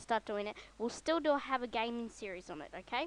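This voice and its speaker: A woman with a squeaky, fairly high-pitched voice talks at a moderate pace in a dry, close sound with no echo. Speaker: software tutorial youtuber. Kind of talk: tutorial. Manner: hesitant, many ums. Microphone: broken mic without windscreen.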